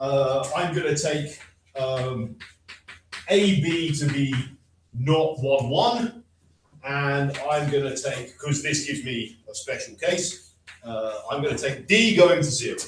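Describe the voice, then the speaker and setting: Very slowly, with long and frequent pauses, a man with a British accent speaks with ordinary pitch variation amid audible room echo. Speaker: mathematician. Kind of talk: lecture.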